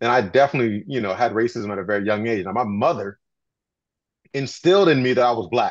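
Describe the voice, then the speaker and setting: Lively intonation marks a man talking at a very fast pace. The background is quiet. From Canada. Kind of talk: panel discussion. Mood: calm, reflective. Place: home room. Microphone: video call.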